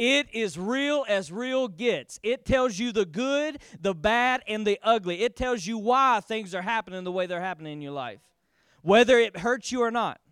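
In a very clean recording with a silent background and a dry, close sound without echo, a man speaks at a high pitch and moderate pace with an animated tone and lively intonation. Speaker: pastor. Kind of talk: sermon. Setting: church with congregation. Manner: animated, emphatic preacher with call-and-response; repeats key lines for emphasis, bold and urgent.

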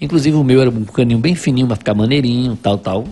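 Ordinary pitch variation over music playing in the background. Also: man. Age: 50s. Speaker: businessman, writer and carnival enthusiast. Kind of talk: casual interview chat, storytelling. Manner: halting with repeated words.

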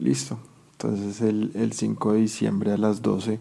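The voice has a dark, mellow tone and a fairly slow pace. The recording is very clean, with a silent background. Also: man. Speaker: football fan. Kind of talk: recorded testimony.

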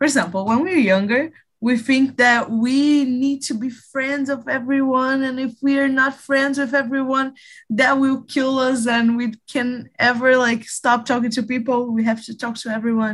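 A high-pitched woman speaks at a moderate pace in a Portuguese accent, with fairly even intonation. The background is quiet. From Brazil, Rio de Janeiro. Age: 20s. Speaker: English learner. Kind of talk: casual group conversation practice. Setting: video call.

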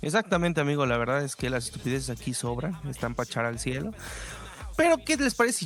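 Speaking very fast with a Mexican accent, a man is heard over noticeable background noise. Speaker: podcast co-host. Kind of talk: casual chat.

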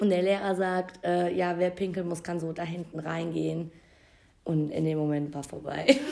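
Delivered at a moderate pace, this is a normal speaking voice with fairly even intonation. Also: woman, fairly low pitch for a woman. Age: 20s. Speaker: podcast co-host. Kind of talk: casual chat.

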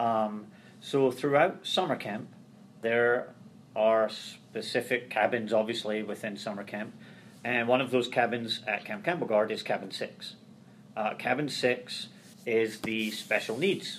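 This man has a Scottish accent and a medium pitch. He speaks at a fairly slow pace with ordinary pitch variation. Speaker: transition services coordinator. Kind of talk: interview conversation.

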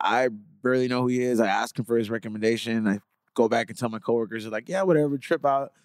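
A man at a medium pitch and a very fast pace, fairly even in intonation, with a dry, close sound and no echo. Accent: American. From Los Angeles, South Central. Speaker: podcast host. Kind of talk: casual chat.

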